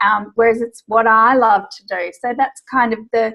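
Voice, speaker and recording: High-pitched, a woman talks at a moderate pace. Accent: Australian. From Australia. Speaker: business coach. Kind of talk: interview.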